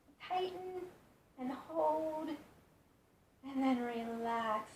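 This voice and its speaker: A woman's high-pitched voice in a calm tone, with audible room echo. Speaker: yoga instructor. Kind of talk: guided yoga instruction. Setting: in bed at home. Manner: calm, slow.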